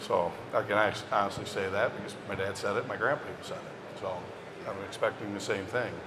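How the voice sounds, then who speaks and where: A man with a fairly low pitch and fairly even intonation talks at a fairly quick pace, with audible room echo and noticeable background noise. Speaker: foodservice business executive. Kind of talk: panel discussion. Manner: quiet.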